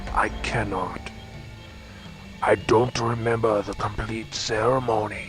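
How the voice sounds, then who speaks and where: Clear background music beneath a man's fairly slow, put-on character voice. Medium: video game. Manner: solemn, formal.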